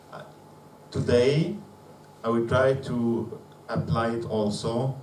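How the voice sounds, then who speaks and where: A man with a non-native accent, amid noticeable background noise and audible room echo. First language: not English. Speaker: conference speaker, physicist. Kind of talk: conference presentation. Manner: slow; halting, many fillers.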